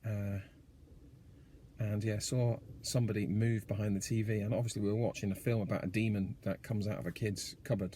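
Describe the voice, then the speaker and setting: The man's tone is dark, mellow and somewhat breathy. He speaks at a fairly quick pace with fairly even intonation. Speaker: horror fan and writer. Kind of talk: casual talk to camera. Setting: in a car.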